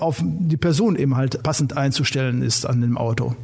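A man talks at a moderate pace with lively intonation. Background noise is noticeable. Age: 60s. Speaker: police traffic safety instructor. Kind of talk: casual interview.

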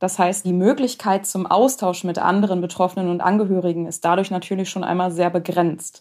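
A woman's plain, everyday voice at medium pitch, fairly quick, with hardly any pauses and fairly even intonation, in a very clean recording with a silent background. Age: 30s. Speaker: founder of a support association, relative of a cancer patient. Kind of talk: interview about personal experience.

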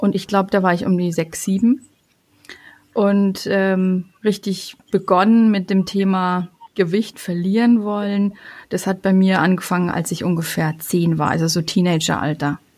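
On a very clean recording with a silent background, a woman speaks at a medium pitch and a fairly slow pace with fairly even intonation. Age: 40s. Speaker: family coach. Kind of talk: personal testimony. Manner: hesitant, many fillers.

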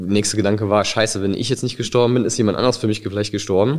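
The recording is very clean, and the background is silent. A man talks in a fairly low voice. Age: 30s. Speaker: near-death experience survivor. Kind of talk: testimony. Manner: halting.

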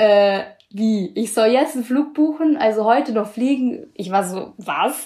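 A woman speaks in a plain, everyday voice with a fairly high pitch. Her pace is fairly slow and her intonation lively. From Bavaria, Allgäu. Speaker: student intern abroad. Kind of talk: casual interview. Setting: video call.

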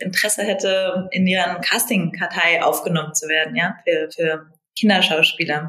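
A woman of medium pitch speaks in a flat monotone. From Berlin, Germany. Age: 30s. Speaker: business development director. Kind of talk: interview. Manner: hesitant, many fillers.

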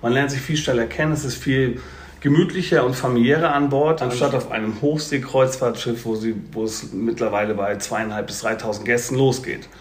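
Over noticeable background noise and audible room echo, a man talks at a fairly quick pace with fairly even intonation. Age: 50s. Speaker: cruise company sales representative. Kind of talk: podcast interview.

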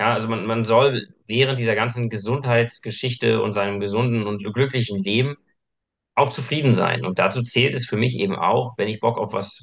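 An unremarkable speaking voice from a man at a medium pitch, at a moderate pace and with fairly even intonation. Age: 30s. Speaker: personal trainer. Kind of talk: casual chat.

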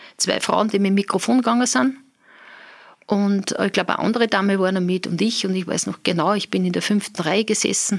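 Vocal fry marks this woman's voice as she talks at a fairly quick pace. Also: very clean recording, silent background. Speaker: business owner. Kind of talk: interview.

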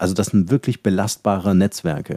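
Talking at a very fast pace, a man with a dark, mellow tone keeps his fairly low pitch and fairly even intonation. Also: dry, close sound with no echo. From Halle, eastern Germany. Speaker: company founder and podcast host. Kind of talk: interview. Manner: hesitant fillers.

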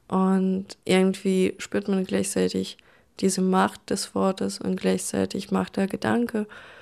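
A woman with a Russian accent speaks at a very slow pace with very even loudness, in a very clean recording with a silent background. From Russia, St. Petersburg. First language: Russian (speaking German). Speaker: artist and writer. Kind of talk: interview. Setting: at home, bedroom with dimmed light.

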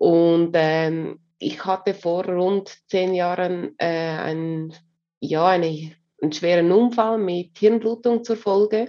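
At a very slow pace, a woman with fairly low pitch speaks with ordinary pitch variation. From Switzerland. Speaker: HR coach and consultant. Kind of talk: interview.

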